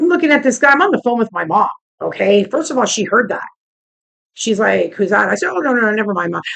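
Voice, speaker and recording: A woman with a fairly high pitch speaks very fast in an animated tone, with very wide pitch swings and vocal fry. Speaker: vlogger. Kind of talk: casual vlog rant.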